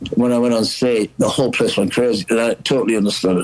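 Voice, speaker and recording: A man speaks with a Geordie accent. His pace is very fast. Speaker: rock singer. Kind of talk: casual chat.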